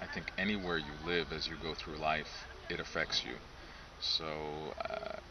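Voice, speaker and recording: Fairly slow male speech, with noticeable noise in the background. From United States (Lithuanian-American). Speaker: clergyman. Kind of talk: interview. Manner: measured, with frequent hesitations.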